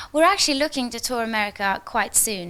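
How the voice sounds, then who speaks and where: In a very clean recording with a silent background, a woman with a Norwegian accent speaks in a bright, sharp tone. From Norway. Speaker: singer and actress. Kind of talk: on-set interview.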